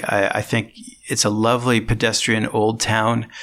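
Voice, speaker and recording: With a Canadian accent, a man speaks at a moderate pace in a bright, sharp tone. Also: very clean recording, silent background. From Ontario, Canada (Toronto area). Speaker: diplomat. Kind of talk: interview.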